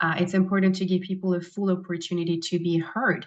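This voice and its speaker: Speaking with a non-native accent, a woman uses a fairly low pitch and a monotone, flat intonation. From abroad, immigrated as adult. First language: not English. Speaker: judicial candidate, prosecutor. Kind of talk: candidate forum answers. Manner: simple, plain phrasing with fillers.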